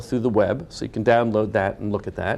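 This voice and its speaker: A man with a dark, mellow tone talks at a fairly quick pace. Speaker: professor and mental health researcher. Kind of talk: lecture. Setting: webcast presentation. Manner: fast.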